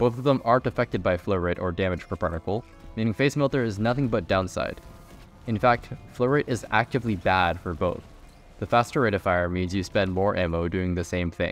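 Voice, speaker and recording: With music playing behind him, a man speaks fairly quickly in a fairly low pitch with ordinary pitch variation. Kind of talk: video game commentary.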